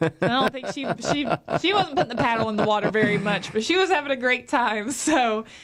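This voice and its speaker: Over noticeable background noise, a woman with an Appalachian accent talks at a fairly quick pace and a high pitch, with very wide pitch swings. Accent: Appalachian American. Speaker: tourism representative. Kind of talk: radio interview. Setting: studio. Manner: fast.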